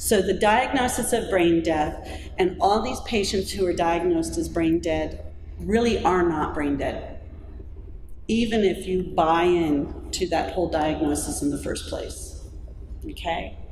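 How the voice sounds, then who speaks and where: The pace is fairly slow. Noticeable background noise and audible room echo come through. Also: woman. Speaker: pro-life speaker. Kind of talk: talk to audience; testimony. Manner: conversational.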